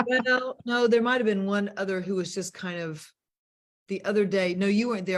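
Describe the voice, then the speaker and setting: A woman with an American accent speaks at a moderate pace in an unremarkable speaking voice, her medium pitch showing ordinary pitch variation. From US South. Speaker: money mentor and show host. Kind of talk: casual chat. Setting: video call.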